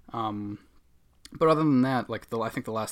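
A man with a Boston accent at a medium pitch, a fairly quick pace and ordinary pitch variation, in a very clean recording with a silent background. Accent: Boston accent, dropped R's. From Boston area, US. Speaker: podcast co-host. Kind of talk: casual comedic banter. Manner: joking, sarcastic.

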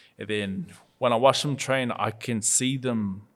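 In a very clean recording with a silent background, a man with a New Zealand accent speaks at a fairly slow pace with fairly even intonation. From New Zealand (Auckland). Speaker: professional boxer. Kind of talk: casual interview chat.

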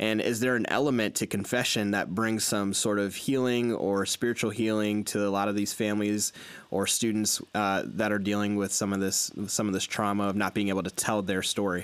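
A man talks at a fairly quick pace with hardly any pauses. His loudness stays very even and his intonation is monotone and flat. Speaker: podcast host. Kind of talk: interview, casual conversation.

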